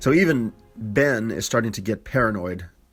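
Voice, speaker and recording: Over music in the background, the voice shows ordinary pitch variation. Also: man. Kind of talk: movie review talk.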